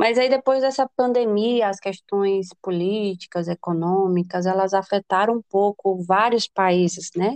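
Recorded dry and close with no echo, a woman uses an ordinary speaking voice at a medium pitch. She talks at a fairly slow pace with ordinary pitch variation. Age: 20s. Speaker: business administrator and future medical student. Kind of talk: casual interview.

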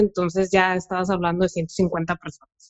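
A woman is speaking. She talks at a moderate pace. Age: 30s. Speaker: lawyer and mother of a child with cancer. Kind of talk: casual chat.

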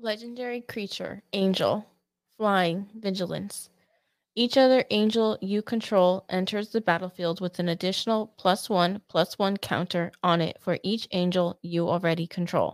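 This woman has an ordinary speaking voice, medium in pitch, with fairly even intonation and a moderate pace. The recording is very clean and dry, close up with a silent background and no echo. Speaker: co-host reading cards. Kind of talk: reading aloud card text.

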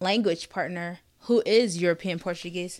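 A normal speaking voice moves at a moderate pace, its intonation fairly even. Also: woman. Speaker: podcast host. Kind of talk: solo podcast monologue. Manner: casual, conversational with fillers.

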